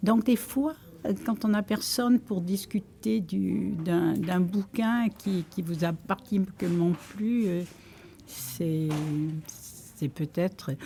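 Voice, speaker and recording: A woman's somewhat breathy, medium-pitched voice, dark and mellow, very slow with lively intonation and long, frequent pauses. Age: 80s+. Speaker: library user, retiree. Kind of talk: interview testimony. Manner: hesitant.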